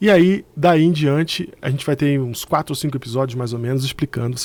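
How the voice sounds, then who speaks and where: A man's medium-pitched voice in a Carioca accent. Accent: carioca Brazilian Portuguese. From Rio de Janeiro, Brazil. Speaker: theologian and former pastor. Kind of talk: religious teaching video. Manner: conversational.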